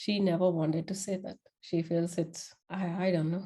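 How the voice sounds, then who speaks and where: A woman with a non-native accent, fairly low in pitch, in a dark, mellow tone, with fairly even intonation at a fairly slow pace. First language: not English. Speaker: podcast host. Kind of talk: casual monologue. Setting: before a camera.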